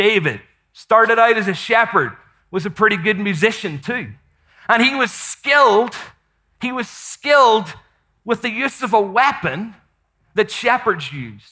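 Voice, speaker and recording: A man speaks at a high pitch in a raised, projected voice with ordinary pitch variation and a bright, sharp, animated tone. His pace is fairly slow, with long, frequent pauses. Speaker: missionary and preacher. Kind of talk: sermon, live teaching. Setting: conference stage with audience. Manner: animated, conversational.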